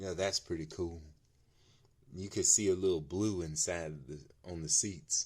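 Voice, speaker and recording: A man's very deep, low voice broken by long, frequent pauses. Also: fairly even intonation. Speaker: diecast collector video creator. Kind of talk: unboxing review. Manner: casual, laid-back. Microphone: new mic.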